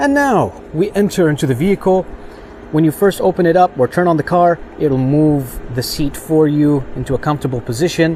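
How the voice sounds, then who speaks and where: Fairly quick and fairly high-pitched, a man speaks with ordinary pitch variation and very even loudness. Noticeable background noise runs underneath. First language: not English. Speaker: car reviewer / YouTuber. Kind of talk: product walkthrough tutorial. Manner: casual, hesitant with frequent fillers.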